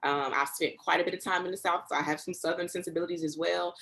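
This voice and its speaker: Talking at a very fast pace, a woman speaks in an American accent. Her intonation is fairly even. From US Northeast, Newark, New Jersey. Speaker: preacher and professor. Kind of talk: interview.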